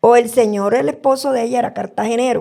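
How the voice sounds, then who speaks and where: A woman's voice at a moderate pace. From Colombian Caribbean coast (Purísima, Córdoba). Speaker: podcast guest. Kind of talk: storytelling.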